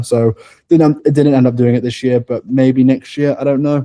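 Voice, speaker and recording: A man's medium-pitched voice has a dark, mellow tone and fairly even intonation in a dry, close sound with no echo. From England. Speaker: racing driver. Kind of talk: interview. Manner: casual, filler-heavy; stutter.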